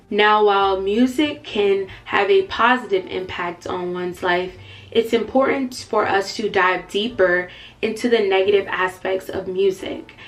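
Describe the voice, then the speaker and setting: A woman speaks at a medium pitch and fairly slow pace, with ordinary pitch variation. Noticeable background noise runs underneath. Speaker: faith and lifestyle YouTuber. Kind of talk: vlog-style talk to camera. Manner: loud.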